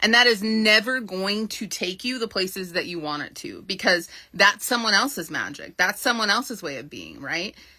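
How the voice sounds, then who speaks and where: Animated and lively in intonation, a woman speaks at a medium pitch with a bright, sharp tone, big swings in loudness and hardly any pauses. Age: 40s. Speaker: business mentor. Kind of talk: livestream talk. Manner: fast.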